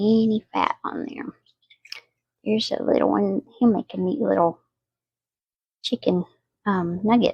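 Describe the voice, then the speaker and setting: Speaking softly at a fairly slow pace, a woman with a Southern US accent is heard in a dry, close sound with no echo. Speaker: home cooking vlogger. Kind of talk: cooking tutorial. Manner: casual, chatty; soft-spoken.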